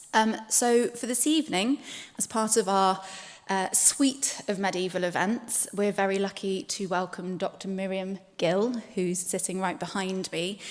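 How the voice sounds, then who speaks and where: A woman speaks at a fairly slow pace and a medium pitch. Her pitch varies in an ordinary way. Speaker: heritage consultant introducing a speaker. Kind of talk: event introduction. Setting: church hall event with live audience, live streamed.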